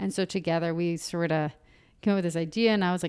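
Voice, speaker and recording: In a very clean recording with a silent background, a woman with an American accent speaks in a monotone, flat intonation. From US South, Marietta, Georgia. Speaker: arts community director and installation designer. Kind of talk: interview. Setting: at a kitchen table at home.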